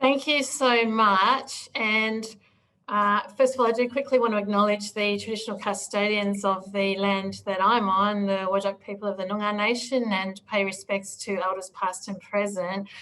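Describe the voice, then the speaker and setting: This voice has a bright, sharp tone and fairly even intonation. It comes with an Australian accent. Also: woman, medium pitch for a woman, moderate pace. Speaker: political strategy consultant. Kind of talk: presentation.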